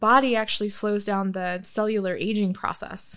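In a very clean recording with a silent background, a woman with an American accent talks at a fairly slow pace and a medium pitch. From Michigan, US Midwest. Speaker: tattoo artist. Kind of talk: interview, casual chat.

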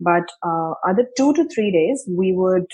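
This woman has a plain, everyday voice with a fairly low pitch. She talks at a moderate pace. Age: 30s. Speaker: marketing coach and author. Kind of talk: interview. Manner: conversational with frequent fillers.

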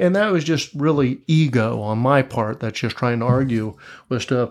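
A man with an American accent has an ordinary speaking voice at a medium pitch. He speaks at a fairly slow pace with ordinary pitch variation against a quiet background. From Tampa, Florida, US. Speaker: podcast guest in addiction recovery. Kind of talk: casual interview chat.

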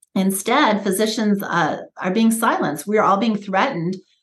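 A woman with an American accent uses a normal speaking voice at a medium pitch with ordinary pitch variation. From United States. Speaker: pediatrician. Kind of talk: interview. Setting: podcast interview.

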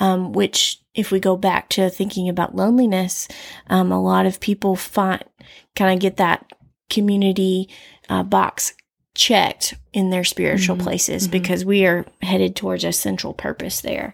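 A woman with a Southern US accent in a very clean recording, silent background, and dry, close sound with no echo. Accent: Southern US drawl. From US South. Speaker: podcast co-host, counseling-oriented. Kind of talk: casual chat.

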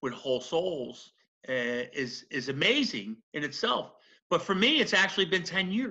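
A man with a Philadelphia accent speaks at a moderate pace in a bright, sharp tone. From South Philadelphia. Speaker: former federal prisoner. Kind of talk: interview testimony.

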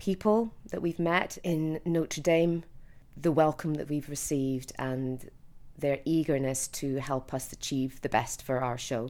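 In an Edinburgh accent, a woman speaks with a very deep, low pitch, a dark, mellow tone and fairly even intonation. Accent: Scottish (Edinburgh). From Scotland, Edinburgh. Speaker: stage actor. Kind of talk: casual video blog. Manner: hesitant, many fillers.

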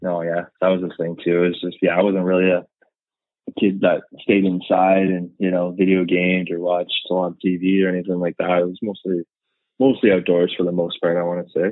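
With a slight Canadian accent, a man talks at a fairly quick pace in a very deep, low voice with monotone, flat intonation. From Canada, eastern Ontario (Renfrew, west of Ottawa). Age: 30s. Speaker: car enthusiast, social media account owner. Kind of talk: casual interview. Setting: phone call.

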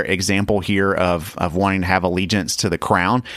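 A man with a fairly low pitch talks at a fairly quick pace in a normal speaking voice. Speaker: podcast host and dad. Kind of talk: casual family chat.

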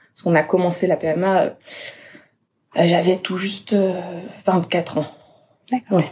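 Speaking at a fairly slow pace with long, frequent pauses, a woman with a medium pitch and a dark, mellow, somewhat breathy tone keeps her intonation fairly even while her loudness swings widely. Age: 20s. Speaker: patient sharing fertility treatment experience. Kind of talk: testimony. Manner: cheerful despite topic, smiling voice.

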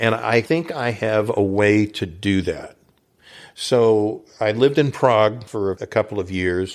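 A man with an American accent speaks in a normal speaking voice at a fairly slow pace, his fairly low pitch showing ordinary variation on a very clean recording with a silent background. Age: 60s. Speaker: radio advertising consultant and author. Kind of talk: casual interview.

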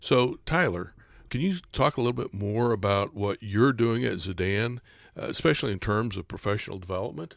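A man with a normal speaking voice, fairly low pitch and lively intonation, on a very clean recording with a silent background. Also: fairly quick pace. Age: 60s. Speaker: podcast host. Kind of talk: podcast discussion. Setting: studio.

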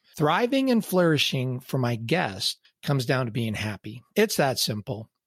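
Recorded with a dry, close sound and no echo, a man speaks at medium pitch and a moderate pace, somewhat breathy, with very wide pitch swings. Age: 60s. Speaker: podcast host. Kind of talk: solo podcast monologue.

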